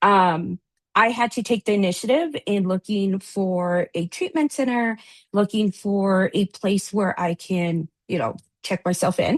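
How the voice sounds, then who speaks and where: A woman with a Spanish accent speaks at a fairly slow pace and medium pitch, her pitch varying in an ordinary way, in a dry, close sound with no echo and a quiet background. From US, daughter of Latin American immigrants. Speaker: addiction recovery advocate, briefing panelist. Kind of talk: panel presentation.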